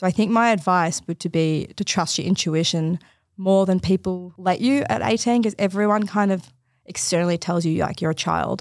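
With an Australian accent, the speaker keeps a moderate pace and ordinary pitch variation in a very clean recording with a silent background. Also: woman, medium pitch for a woman. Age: 20s. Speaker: forensic scientist. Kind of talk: casual chat. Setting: studio.

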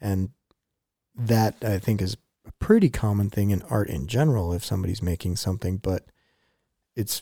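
Somewhat breathy, fairly low male voice with a dark, mellow tone, fairly quick pace and ordinary pitch variation, in a dry, close sound with no echo on a very clean recording with a silent background. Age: 30s. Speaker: music podcast co-host. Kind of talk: casual chat.

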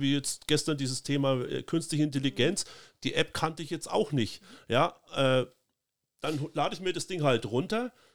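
A man has an ordinary speaking voice, fairly high in pitch, at a moderate pace. The recording is very clean with a silent background. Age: 50s. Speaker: politician. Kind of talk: casual chat.

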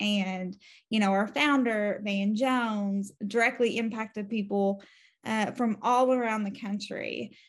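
On a very clean recording with a silent background, a somewhat breathy voice speaks at a fairly slow pace in a flat, monotone way. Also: woman, fairly high pitch for a woman. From eastern Kentucky. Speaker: justice reform campaigner, formerly incarcerated. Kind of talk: interview.

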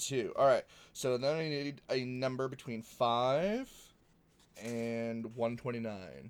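This man has an American accent and a medium pitch. He talks at a very slow pace with ordinary pitch variation. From New England, US. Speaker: podcast co-host. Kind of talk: casual chat. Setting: online call.

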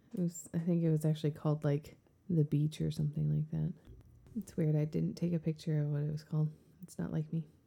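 A woman talks at a very fast pace in a very deep, low pitch, somewhat breathy. Her tone is dark and mellow and her intonation monotone and flat. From US South, born New Orleans, later Michigan. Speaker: podcast co-host. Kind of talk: casual chat. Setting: home basement studio.

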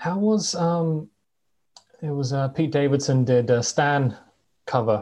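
A man speaks at a fairly slow pace with long, frequent pauses. His fairly high voice is somewhat breathy, with a dark, mellow tone. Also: ordinary pitch variation. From southwest England. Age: 20s. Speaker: podcast host, guest. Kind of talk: casual chat.

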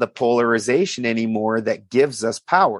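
With an American accent, a man of medium pitch speaks at a moderate pace with ordinary pitch variation, the sound dry and close with no echo over a quiet background. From South Dakota / Minnesota, US Upper Midwest. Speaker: alchemy researcher / podcast guest. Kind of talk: casual interview. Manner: rambling, run-on explanations.

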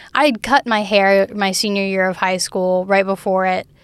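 A woman with an American accent and a normal speaking voice, at a medium pitch and a fairly slow pace. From US South, Alabama Gulf Coast. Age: 20s. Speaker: university student. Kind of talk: interview.

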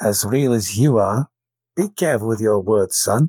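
A man does a gruff, put-on character voice at medium pitch and a moderate pace, with ordinary pitch variation and very even loudness. The recording is very clean with a silent background, dry and close with no echo. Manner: stern, warning.

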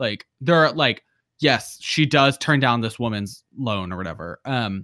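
In a very clean recording with a silent background, a man with an American accent speaks at a moderate pace and medium pitch, using lively intonation and a bright, sharp tone. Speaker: podcast host. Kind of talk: casual chat about movies.

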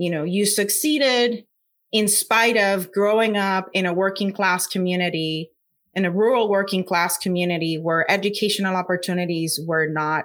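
In a very clean recording with a silent background, a woman talks at a moderate pace with a Puerto Rican accent. Her pitch is medium. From Puerto Rico. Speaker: scientist and science communicator. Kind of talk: interview.

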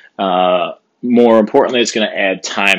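A man with an ordinary speaking voice talks at a moderate pace, fairly low in pitch and with fairly even intonation. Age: 50s. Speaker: podcast host, strength coach. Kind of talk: solo podcast monologue. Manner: casual, many fillers.

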